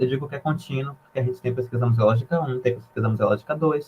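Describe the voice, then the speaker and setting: A man is talking here. The rise and fall of his pitch is ordinary. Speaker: university student presenter. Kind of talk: informal presentation to freshmen. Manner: quiet at first.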